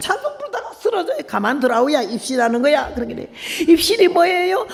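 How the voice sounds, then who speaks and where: A woman's voice rises and falls in very wide pitch swings. Noticeable background noise sits behind her. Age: 80s+. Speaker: missionary preacher. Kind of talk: revival sermon. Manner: emotional, storytelling.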